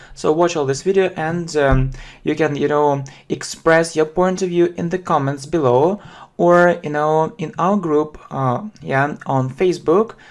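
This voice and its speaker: Someone speaks fairly slowly with a Russian accent. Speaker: English teacher. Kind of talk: lesson. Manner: halting, many fillers; slow, repetitive.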